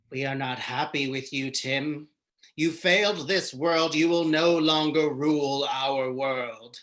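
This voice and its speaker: Using a robotic, put-on character voice, a man speaks fairly slowly at a fairly high pitch. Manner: menacing, commanding.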